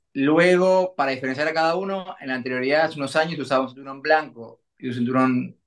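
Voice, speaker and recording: With a Uruguayan accent, a man speaks at a fairly quick pace. His pitch varies in an ordinary way over a quiet background. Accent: Uruguayan Spanish (Rioplatense, voseo). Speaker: olympic judoka; guest. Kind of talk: interview. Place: home room. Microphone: video call.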